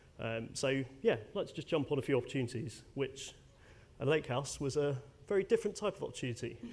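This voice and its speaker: A man with a British accent talks at a very fast pace, his fairly high pitch carried by lively intonation and a somewhat breathy quality. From UK. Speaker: airline data technology lead. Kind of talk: conference presentation. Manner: casual, many fillers.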